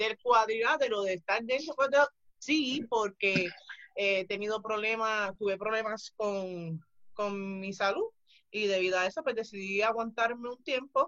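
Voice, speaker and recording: A woman with a fairly high pitch, an unremarkable speaking voice and ordinary pitch variation talks at a fairly slow pace. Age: 30s. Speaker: retired pro wrestler. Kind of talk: casual interview.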